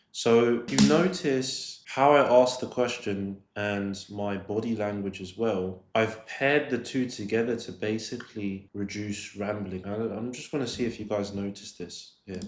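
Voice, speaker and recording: With a London accent, a man talks at a fairly slow pace with hardly any pauses, ordinary pitch variation and big swings in loudness. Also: fairly low pitch for a man. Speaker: sales coach. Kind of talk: tutorial commentary on a recorded call. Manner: casual, with filler words.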